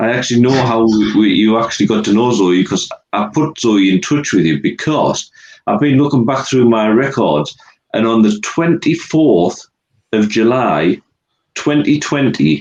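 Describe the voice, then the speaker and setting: The voice has lively intonation and very even loudness, delivered with an English accent. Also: man, medium pitch for a man, moderate pace. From England. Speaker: music reviewer and co-host. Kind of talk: casual interview chat.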